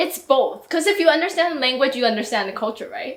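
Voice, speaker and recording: A woman speaks at a high pitch with a Mandarin accent. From Taiwan. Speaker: YouTuber. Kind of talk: casual chat.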